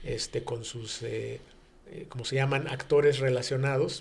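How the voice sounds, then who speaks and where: A man's somewhat breathy voice in a monotone, flat intonation. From Mexico City. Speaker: business executive. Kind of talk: radio interview. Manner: halting, many fillers.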